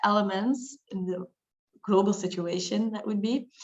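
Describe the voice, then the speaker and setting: A woman with a Flemish accent, medium pitch, fairly even intonation and a fairly quick pace. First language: Dutch. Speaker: lawyer. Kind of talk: webinar discussion.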